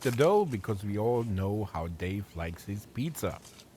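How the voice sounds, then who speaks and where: Somewhat breathy, a man speaks at a moderate pace and fairly low pitch with ordinary pitch variation. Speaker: cooking channel host. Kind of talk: scripted narration.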